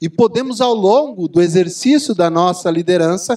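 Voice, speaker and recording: Against a quiet background, a man speaks fairly slowly with lively intonation. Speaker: executive coach, speaker. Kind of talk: lecture. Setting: stage with audience. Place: hall. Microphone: handheld.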